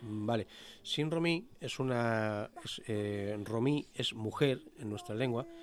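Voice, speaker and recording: Pitch variation stays ordinary as a man talks at a very slow pace. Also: medium pitch for a man. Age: 50s. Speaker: Romani NGO representative. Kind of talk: interview. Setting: studio.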